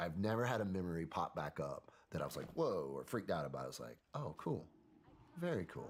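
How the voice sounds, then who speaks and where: Very deep, low-pitched man with a Southern US accent, fairly quick, with very wide pitch swings. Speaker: military veteran. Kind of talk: interview. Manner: casual, conversational.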